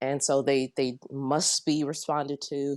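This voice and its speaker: Recorded with a dry, close sound and no echo, a woman speaks at a very deep, low pitch. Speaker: farmer in online debate. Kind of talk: casual chat. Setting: voice chat.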